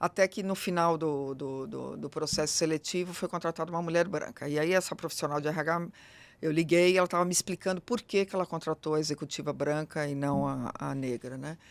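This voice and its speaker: Over a silent background in a very clean recording, a woman talks at a fairly quick pace. Her pitch is very deep and low. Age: middle-aged. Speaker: diversity consultant. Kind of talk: interview conversation. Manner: fast; animated.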